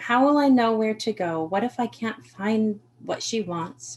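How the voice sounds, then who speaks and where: Her voice is somewhat breathy. This woman has an American accent. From Maine, US. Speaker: author and artist. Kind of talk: reading aloud.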